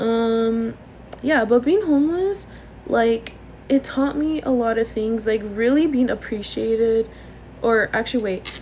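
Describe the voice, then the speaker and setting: A woman speaks loudly at a fairly slow pace in a fairly high voice. Her pitch varies in an ordinary way over noticeable background noise. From Los Angeles area, Norwalk. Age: 20s. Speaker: content creator. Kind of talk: casual chat. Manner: wheezing laugh.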